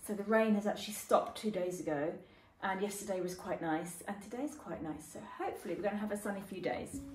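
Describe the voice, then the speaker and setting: Very fast speech from a woman, ordinary pitch variation, music in the background and audible room echo. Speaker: home cook vlogger. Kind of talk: casual vlog chat. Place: kitchen. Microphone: phone near.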